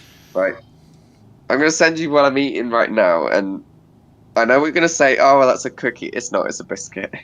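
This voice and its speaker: Speaking in a British accent, a man moves at a fairly quick pace. He takes long, frequent pauses. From UK. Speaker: gamer on a stream chat. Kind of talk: casual chat.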